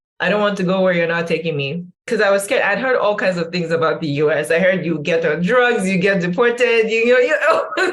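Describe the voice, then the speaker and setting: A woman with an American accent talks at a very fast pace with hardly any pauses, at medium pitch with ordinary pitch variation, with audible room echo. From northern Nigeria, Kano. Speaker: social science researcher and educator. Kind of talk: interview conversation.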